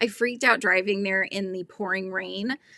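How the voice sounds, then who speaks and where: A woman speaks at a moderate pace and medium pitch with a Californian accent. The sound is dry and close, with no echo. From California, US. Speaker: crochet YouTuber, livestream host. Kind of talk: casual live-stream chat reading viewer comments. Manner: chatty, conversational.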